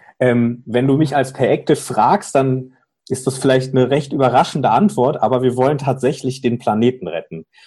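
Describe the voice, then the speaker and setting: A man speaks with a somewhat breathy voice. His tone is dark and mellow. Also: medium pitch for a man, ordinary pitch variation, moderate pace. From Cologne, Germany. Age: 30s. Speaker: fintech startup founder. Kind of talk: interview. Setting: remote call.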